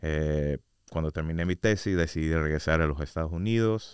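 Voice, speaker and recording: A man with a very deep, low pitch speaks at a moderate pace with fairly even intonation against a quiet background. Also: dry sound with no echo. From US, Orlando, Florida; Florida. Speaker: state commission researcher; guest. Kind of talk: casual interview; interview answer. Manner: hesitant, many fillers. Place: studio. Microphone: studio mic.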